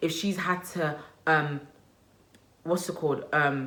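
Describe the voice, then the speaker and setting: At a moderate pace, a woman speaks with a Nigerian accent. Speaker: lifestyle vlogger and mother. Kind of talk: casual vlog monologue. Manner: animated, conversational.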